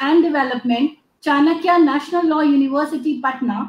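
Here a woman with an Indian accent speaks with a high pitch at a moderate pace. Audible room echo surrounds her voice. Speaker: event moderator. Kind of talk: formal announcements. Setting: video call. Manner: formal. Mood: polite, formal, appreciative. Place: office. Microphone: webcam.

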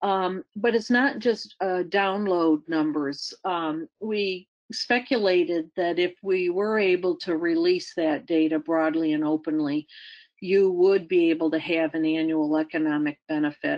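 In a Western New York accent, a woman speaks at a fairly slow pace with fairly low pitch and ordinary pitch variation against a quiet background. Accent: American (Western New York). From Western New York, US. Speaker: retired science agency director; webinar presenter. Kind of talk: presentation; presentation talk. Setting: webinar. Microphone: video call.

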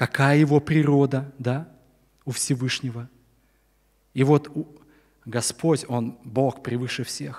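Against a quiet background, a man speaks at a very slow pace in a monotone, flat intonation, with long, frequent pauses. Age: 60s. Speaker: preacher. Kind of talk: sermon. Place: church. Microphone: podium.

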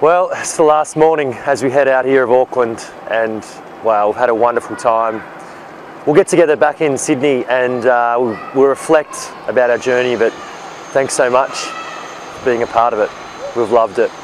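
A man speaks at a moderate pace with ordinary pitch variation. The sound is dry with no echo, with light background noise. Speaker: presenter. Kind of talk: casual vlog chat. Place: street. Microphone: phone near.

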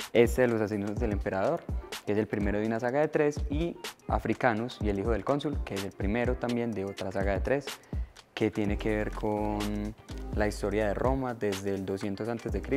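A man's fairly low voice over clear background music. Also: moderate pace. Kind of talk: book recommendation to camera. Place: hall.

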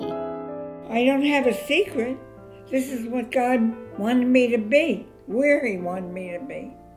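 The speaker moves at a fairly slow pace. Clear music plays in the background. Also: woman. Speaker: great-grandmother. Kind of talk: interview answer. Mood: warm, reflective. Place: home room.

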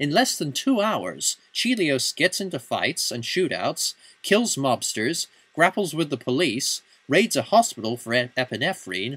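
A man talks at a fairly slow pace with a bright, sharp tone, vocal fry and very wide pitch swings. The sound is dry and close with no echo, in a very clean recording with a silent background. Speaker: film reviewer. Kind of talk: film review narration.

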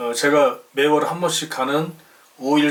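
Very slow speech with fairly even intonation. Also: man. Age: 50s. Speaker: retiree YouTuber. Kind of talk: channel announcement. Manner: formal.

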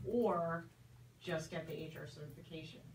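There is light background noise and audible room echo. A woman with fairly low pitch speaks at a moderate pace. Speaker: recruitment coach. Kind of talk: radio talk show. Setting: radio studio. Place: studio. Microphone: camera far.

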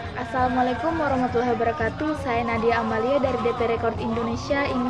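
Clear music in the background behind a woman speaking. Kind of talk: formal holiday greeting. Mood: warm, smiling. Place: home room. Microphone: phone near.

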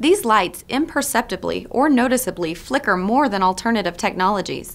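A woman speaks with lively intonation at a fairly quick pace. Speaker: news presenter. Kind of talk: newscast read. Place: studio.

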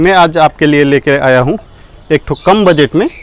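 There is light background noise and a dry sound with no echo as a man speaks at a moderate pace with ordinary pitch variation. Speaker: bird breeder or seller. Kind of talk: informational vlog talk. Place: farm. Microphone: lapel.

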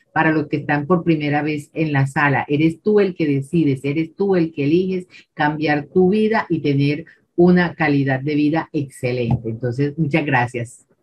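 A woman in a Colombian accent, very deep and low-pitched, somewhat breathy, at a moderate pace, over light background noise. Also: ordinary pitch variation. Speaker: independent distributor. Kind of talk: testimony. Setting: video call. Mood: warm, smiling. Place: home room. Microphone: video call.

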